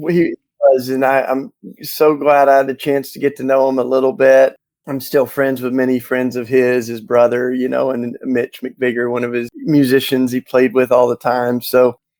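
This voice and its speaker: A man in a Southern US accent, medium pitch, monotone and flat, at a moderate pace, with dry, close sound and no echo. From US South, Tennessee. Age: 50s. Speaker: author and activist. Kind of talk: interview.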